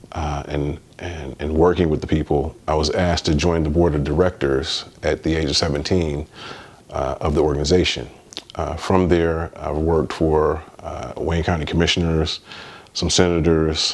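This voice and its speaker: Against noticeable background noise, a man with an American accent speaks in a very deep, low voice at a moderate pace with monotone, flat intonation. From US Midwest, Detroit. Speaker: spiritual vlogger. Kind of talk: personal testimony. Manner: halting, many fillers.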